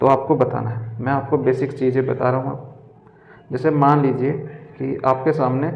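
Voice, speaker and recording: A man talks very slowly at a medium pitch, his intonation flat and monotone. Audible room echo surrounds his voice. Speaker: reasoning tutor for competitive exams. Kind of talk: tutorial.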